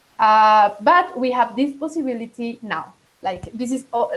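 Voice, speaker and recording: A moderate pace with ordinary pitch variation, in a Latin American accent. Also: woman. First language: Spanish. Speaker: digital rights advocate. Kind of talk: online meeting presentation. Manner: halting, many fillers.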